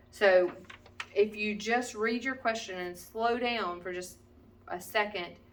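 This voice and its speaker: Background noise is noticeable as a woman speaks at medium pitch with ordinary pitch variation. Her loudness swings widely, and her pauses are long and frequent. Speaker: math teacher. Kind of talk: tutorial. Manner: casual, with many fillers.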